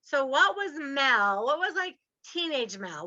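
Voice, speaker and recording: A woman's raised, projected voice, high-pitched with very wide pitch swings, bright and sharp in tone, animated, at a fairly slow pace. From US South. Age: 60s. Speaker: podcast host and real estate investor. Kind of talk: podcast interview.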